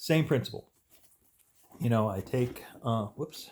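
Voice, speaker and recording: This man sounds somewhat breathy, and his pitch varies in an ordinary way. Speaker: tarot reader. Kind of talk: tutorial. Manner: halting, many fillers and stutters.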